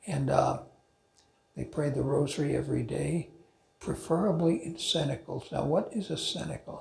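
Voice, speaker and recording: The speech moves at a moderate pace. Room echo can be heard. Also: man. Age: 80s+. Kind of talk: informal talk to a men's group. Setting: church talk, also streamed on video call. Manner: halting, with false starts.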